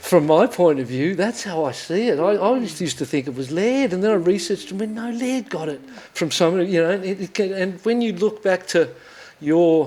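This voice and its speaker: Speaking at a fairly quick pace with lively intonation, a man with an Australian accent has a high pitch. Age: 60s. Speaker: podcast host and former pro surfer. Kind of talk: interview conversation. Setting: studio. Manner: animated.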